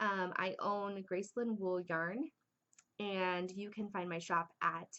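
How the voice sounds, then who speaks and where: Speaking at a fairly slow pace, a woman with a bright, sharp tone uses a medium pitch and ordinary pitch variation. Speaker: knitting podcaster and yarn dyer. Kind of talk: casual chat.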